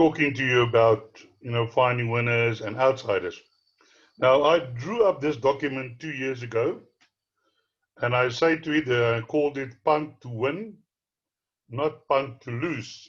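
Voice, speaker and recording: Delivered at a fairly slow pace with long, frequent pauses, the somewhat breathy voice shows ordinary pitch variation. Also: man, medium pitch for a man. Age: 60s. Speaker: horse racing tipster. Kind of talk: tutorial.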